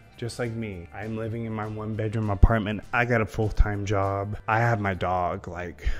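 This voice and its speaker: A man talks with a fairly low pitch in a monotone, flat intonation. He keeps a moderate pace with hardly any pauses, over faint background music. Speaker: small content creator. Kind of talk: casual vlog chat. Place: home room. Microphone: handheld.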